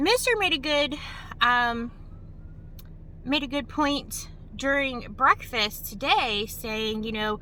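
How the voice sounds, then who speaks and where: A woman's raised, projected voice, high pitched and lively in intonation, at a very slow pace with long, frequent pauses, in an American accent. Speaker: travel vlogger. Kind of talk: casual vlog. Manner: chatty with many fillers.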